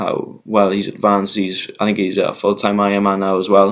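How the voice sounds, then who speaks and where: A man's fairly low-pitched voice with a Welsh accent. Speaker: vlogger. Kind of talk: casual chat. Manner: slowed down deliberately; hesitant, many fillers.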